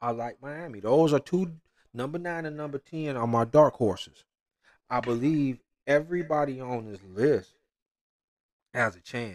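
The speaker has an animated tone at a moderate pace, with ordinary pitch variation, big swings in loudness and long, frequent pauses, on a very clean recording with a silent background. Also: man, fairly high pitch for a man. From Michigan, US Midwest. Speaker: podcast host, sports commentator. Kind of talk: casual sports talk monologue.

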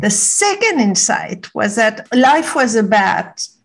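A woman talks very slowly, her fairly high voice somewhat breathy. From Morocco. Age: 60s. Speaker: wisdom teacher. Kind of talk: interview.

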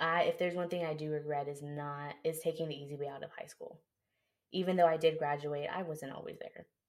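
An American-accented woman with a very deep, low pitch talks at a fairly quick pace in a flat monotone, her loudness swinging widely. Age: 20s. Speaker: car dealership manager. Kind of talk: casual chat.

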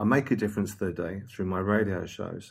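With a silent background and a very clean recording, a man talks in a fairly low pitch. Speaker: radio broadcaster and DJ. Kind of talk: casual interview chat. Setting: in person, face to face at a table. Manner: hesitant, many fillers.

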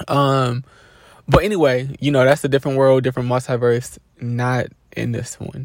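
On a very clean recording with a silent background, a man of medium pitch speaks at a moderate pace with fairly even intonation. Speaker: life coach podcaster. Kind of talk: casual monologue. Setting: in a car.

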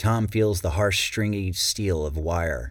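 A man speaks in a very deep, low, somewhat breathy voice with a dramatic tone and ordinary pitch variation. His pace is very slow, and the recording is very clean with a silent background. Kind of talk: audiobook narration. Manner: dramatic, suspenseful narration; acts out a stuttering character.

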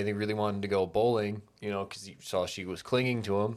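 A man with an unremarkable speaking voice talks at a fairly quick pace and fairly low pitch in a very clean recording with a silent background. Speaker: podcast co-host. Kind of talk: casual chat.

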